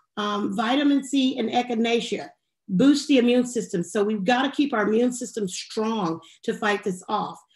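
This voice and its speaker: Fairly high-pitched speech from a woman at a moderate pace, with ordinary pitch variation and music in the background. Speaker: health professional panelist. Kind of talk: panel discussion. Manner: halting, many fillers.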